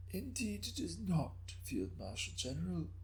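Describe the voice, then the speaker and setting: A man puts on a raspy character voice, very deep and low, at a moderate pace with clear background noise. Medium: read story. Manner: calm, measured, with a hint of laughter.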